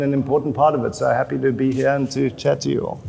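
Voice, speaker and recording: A man talks at a fairly quick pace in a South African accent. There is noticeable background noise. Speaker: chief creative officer. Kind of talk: panel discussion.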